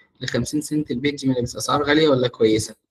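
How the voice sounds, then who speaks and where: A man talks at a fairly high pitch with ordinary pitch variation. The background is quiet. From Egypt. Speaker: marketing mentor; media buying instructor. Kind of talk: online workshop; lecture. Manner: halting, with frequent repetitions. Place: home room. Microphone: video call.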